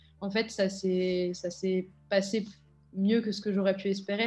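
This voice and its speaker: Faint music plays in the background as a woman speaks at a medium pitch with monotone, flat intonation. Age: 20s. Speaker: elite triathlete. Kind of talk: testimony. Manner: hesitant, many filler words. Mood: reflective, subdued. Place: home room. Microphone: webcam.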